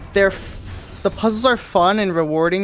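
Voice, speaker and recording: The speech comes at a fairly quick pace. Behind it, noticeable background noise persists. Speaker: video game speedrunner and streamer. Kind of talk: casual live stream commentary. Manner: fast.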